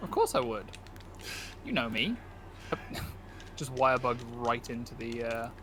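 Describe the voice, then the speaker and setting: A man with a British accent speaks at a medium pitch in a monotone, flat way, at a moderate pace with long, frequent pauses and noticeable background noise. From Britain. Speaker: video game streamer. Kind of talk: casual chat while gaming.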